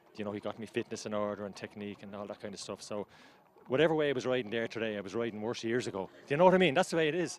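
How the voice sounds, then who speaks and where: Speaking at a very fast pace, a man with an Irish accent uses lively intonation at a medium pitch. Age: 50s. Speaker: amateur jockey. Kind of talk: post-race interview. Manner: halting, repetitive.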